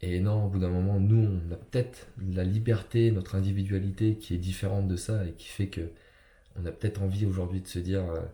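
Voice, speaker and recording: A man speaks fairly quickly in a very deep, low voice that is somewhat breathy, with a dark, mellow tone and monotone, flat intonation. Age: 30s. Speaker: personal development coach. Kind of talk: motivational talk. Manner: halting, many fillers.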